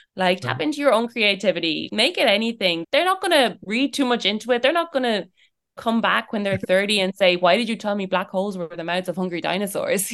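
In an Irish accent, a woman talks at a fairly quick pace with lively intonation and a medium pitch. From Ireland. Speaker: early childhood educator. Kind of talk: interview.

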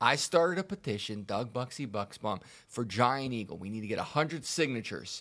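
With an American accent, a man with an unremarkable speaking voice talks at a moderate pace in a medium pitch with lively intonation against a quiet background. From Pittsburgh, Pennsylvania. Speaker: podcast co-host. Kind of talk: casual chat.

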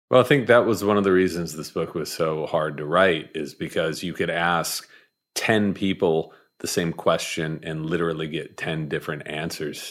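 On a very clean recording with a silent background, a man speaks with a very deep, low pitch. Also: ordinary pitch variation, moderate pace. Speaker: author and journalist. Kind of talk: interview conversation. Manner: measured cadence and delivery.

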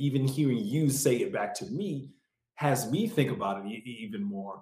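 This man's voice is somewhat breathy and fairly high in pitch. He talks at a fairly slow pace. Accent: American. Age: 40s. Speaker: actor and comedian living with MS, YouTuber. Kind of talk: casual interview.

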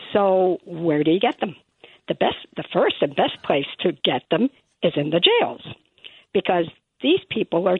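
A woman with an American accent, medium pitch and lively intonation, at a fairly slow pace with long, frequent pauses. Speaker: caller. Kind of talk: casual chat. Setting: phone call.

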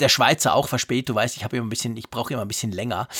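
A man speaks with a dry, close sound that has no echo. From Switzerland. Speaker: tech podcast co-host. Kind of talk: casual chat. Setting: remote recording, separate locations.

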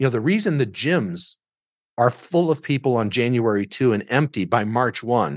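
In a normal speaking voice with an American accent, a man talks at medium pitch with lively intonation, the sound dry and close with no echo against a quiet background. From Southern Illinois. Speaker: business lawyer and coach. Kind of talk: casual chat.

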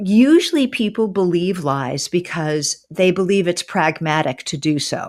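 In a normal speaking voice, a woman talks with lively intonation at a fairly low pitch, on a very clean recording with a silent background. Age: 60s. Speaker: author and former English professor. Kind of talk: interview.

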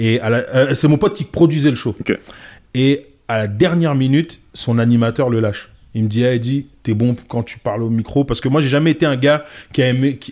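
On a very clean recording with a silent background, a man with a plain, everyday voice speaks at a moderate pace with ordinary pitch variation. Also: medium pitch for a man. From France, Paris suburbs (Goussainville). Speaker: comedian. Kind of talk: casual chat.

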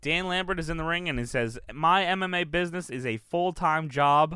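The recording is very clean, with a silent background. A man speaks in a bright, sharp, animated tone with ordinary pitch variation. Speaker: wrestling podcast host. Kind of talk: casual banter recap show. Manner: animated, loud, joking.

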